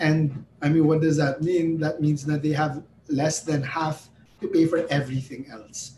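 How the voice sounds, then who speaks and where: Somewhat breathy and dark, mellow in tone, a man's fairly high voice moves at a moderate pace with fairly even intonation. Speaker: psychologist. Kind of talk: interview.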